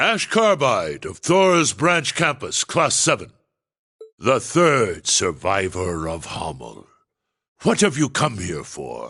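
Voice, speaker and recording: A man's put-on character voice at medium pitch and a fairly slow pace, against a quiet background. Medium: video game. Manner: calm, measured.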